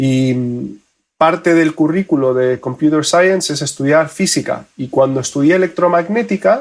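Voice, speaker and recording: A man talks moderately fast in a fairly high pitch, varying it an ordinary amount. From Spain, with childhood years in Argentina. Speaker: photonics engineer. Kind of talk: podcast interview.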